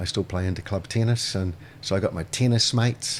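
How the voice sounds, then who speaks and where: Speaking with a New Zealand accent, a man uses a fairly low pitch at a moderate pace. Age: 60s. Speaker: restaurateur. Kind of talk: casual chat. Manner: halting.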